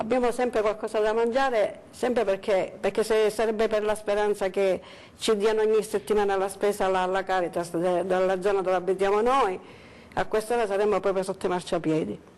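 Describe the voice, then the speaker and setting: Her loudness stays very even as this woman speaks at a fairly quick pace, with a medium pitch and fairly even intonation. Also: quiet background. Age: 60s. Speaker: food bank recipient. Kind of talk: testimony. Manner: halting.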